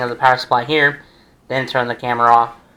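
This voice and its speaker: Very fast and monotone, a man's bright, sharp voice holds a medium pitch with flat intonation. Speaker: PC builder. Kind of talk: tutorial. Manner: casual, thinking aloud.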